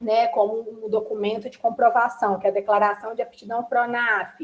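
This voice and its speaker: Using a plain, everyday voice, a woman speaks at a moderate pace with a fairly high pitch. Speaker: workshop presenter on food legislation. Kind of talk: online workshop lecture.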